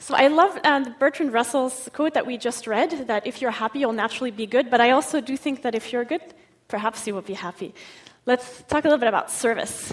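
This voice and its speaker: Here a woman talks at a fairly quick pace. Her pitch is high, with ordinary variation. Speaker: psychology researcher and conference speaker. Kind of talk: conference talk. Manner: fast.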